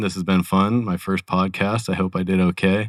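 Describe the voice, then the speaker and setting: A man with an American accent speaks at a very deep, low pitch. His intonation is monotone and flat, and the recording is very clean with a silent background. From California. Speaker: accountant. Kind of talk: casual interview chat.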